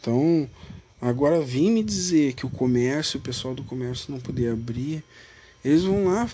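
His pitch fairly high, a man speaks at a moderate pace with lively intonation. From Brazil, Rio Grande do Sul. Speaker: political podcaster. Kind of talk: casual political monologue. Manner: animated, informal.

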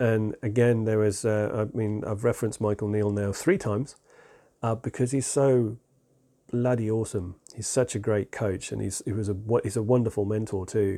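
In a very clean recording with a silent background, a man with an English accent speaks at a moderate pace, his fairly low voice dark and mellow in tone with fairly even intonation. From England. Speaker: self-improvement podcast host. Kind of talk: unscripted solo monologue.

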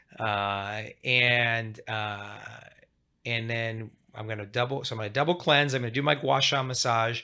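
A man at a medium pitch with ordinary pitch variation, a bright, sharp tone and a moderate pace, on a very clean recording with a silent background. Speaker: plastic surgeon podcast host. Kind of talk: casual interview chat. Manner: jokey, laughing.

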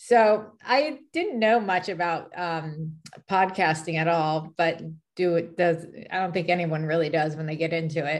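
An unremarkable speaking voice with an American accent moves at a fairly slow pace with ordinary pitch variation. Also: woman, fairly low pitch for a woman. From California. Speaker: podcaster. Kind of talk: casual chat. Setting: video call.

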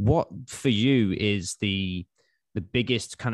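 A man talks in an English accent at a fairly low pitch. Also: quiet background. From England. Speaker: podcast host. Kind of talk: interview.

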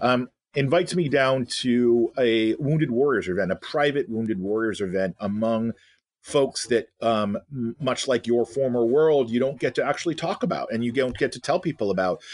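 Recorded with a dry, close sound, no echo and a quiet background, a man has an unremarkable speaking voice with a medium pitch, a moderate pace and ordinary pitch variation. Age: 50s. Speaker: leadership researcher and educator. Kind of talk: interview.

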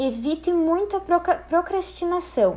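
This woman speaks with lively intonation. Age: 20s. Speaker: presenter of a professional skills talk. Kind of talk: lecture with slides. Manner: formal.

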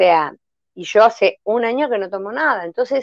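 In an unremarkable speaking voice, a woman talks at a fairly high pitch and fairly slow pace with lively intonation. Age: 60s. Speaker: health testimony guest. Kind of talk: personal testimony in a live interview.

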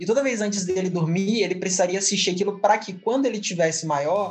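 Talking at a very fast pace and a high pitch with ordinary pitch variation, a man is heard with audible room echo and noticeable background noise. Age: 20s. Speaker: university student, podcast panelist. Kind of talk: casual chat.

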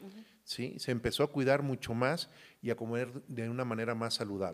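On a very clean recording with a silent background, a man speaks at a fairly slow pace. His pitch is medium, with ordinary pitch variation. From Mexico, Michoacán and Veracruz. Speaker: industry association president, agronomist. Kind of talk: interview. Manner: halting, many fillers.

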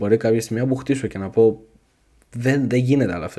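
A man speaks at a fairly quick pace in a dark, mellow tone. The recording is very clean, with a silent background. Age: 20s. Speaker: podcast host. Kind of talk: solo podcast monologue. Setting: home recording at night. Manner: casual freestyle.

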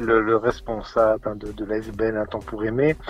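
Very slow male speech with clearly audible background noise. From Belgium, Charleroi (Wallonia). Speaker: charity head and primary school teacher. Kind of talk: radio interview. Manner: hesitant, many repetitions and fillers.

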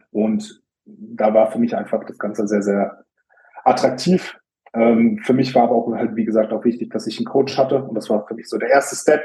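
A man with a dark, mellow tone and a medium pitch speaks at a moderate pace with fairly even intonation. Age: 20s. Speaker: bodybuilder. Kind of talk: casual chat.

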